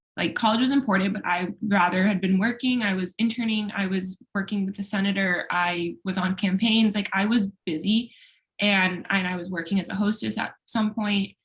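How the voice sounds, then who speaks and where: The speaker is a woman with a somewhat breathy sound. Her pitch movement is fairly even. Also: medium pitch for a woman, moderate pace, hardly any pauses. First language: Spanish. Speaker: law student. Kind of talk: casual chat.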